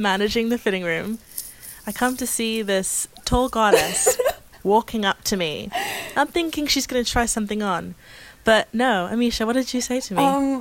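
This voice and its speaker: A woman speaks at a moderate pace with a fairly high pitch and ordinary pitch variation. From England, living in Canada. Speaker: podcast co-host.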